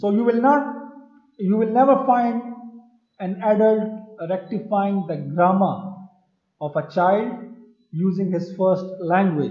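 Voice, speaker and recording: Speaking with a Pashto accent, a man talks at a very slow pace in a high pitch with ordinary pitch variation, leaving long, frequent pauses amid audible room echo. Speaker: university lecturer. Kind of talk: lecture. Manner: halting, repetitive fillers.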